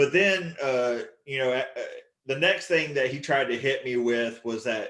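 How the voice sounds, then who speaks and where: Speaking with a Southern US accent, a man uses lively intonation. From Texas. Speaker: stand-up comedian. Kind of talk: stand-up.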